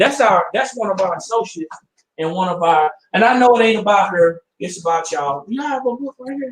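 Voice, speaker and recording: A man's high-pitched voice with lively intonation. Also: fairly quick pace. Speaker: business networking show host. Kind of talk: live stream talk show. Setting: at home, live video stream. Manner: energetic.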